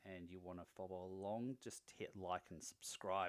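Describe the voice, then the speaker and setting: With an Australian accent, a man talks at a moderate pace in a very deep, low pitch and fairly even intonation. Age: 40s. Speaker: fitness vlogger. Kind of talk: video diary. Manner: casual.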